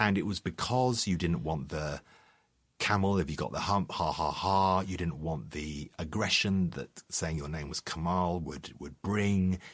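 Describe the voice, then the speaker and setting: A man with a London accent speaks fairly slowly in a very deep, low voice. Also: ordinary pitch variation, very clean recording, silent background. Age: 50s. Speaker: journalist and author. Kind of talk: interview. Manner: halting.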